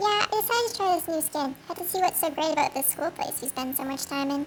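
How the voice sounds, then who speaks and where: A put-on character voice, squeaky and extremely high-pitched, races along at a very fast pace over clear background noise. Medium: machinima.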